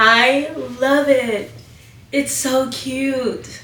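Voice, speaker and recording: With a raised, projected voice, a woman at a high pitch speaks with ordinary pitch variation amid noticeable background noise and audible room echo. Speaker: sewing youtuber. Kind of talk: tutorial. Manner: animated.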